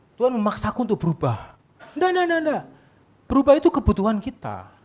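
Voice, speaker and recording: A man talks at a very fast pace in an animated tone, with very wide pitch swings. There is noticeable background noise. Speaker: pastor. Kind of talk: sermon. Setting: church service with congregation. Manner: animated, conversational with audience.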